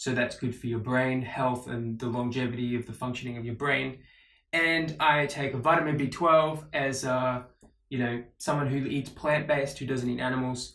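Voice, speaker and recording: A man speaks at a moderate pace in an Australian accent, his pitch medium. His tone is bright and sharp, his intonation fairly even. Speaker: vlogger. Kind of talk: casual vlog monologue. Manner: casual, with many fillers.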